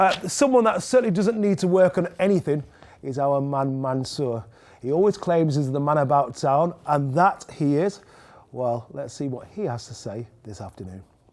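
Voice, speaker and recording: With a Mancunian accent, a man speaks at a moderate pace in a fairly high voice, his pitch swinging very widely and his loudness rising and falling in big swings. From Manchester, northern England. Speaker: TV presenter. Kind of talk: presenting links.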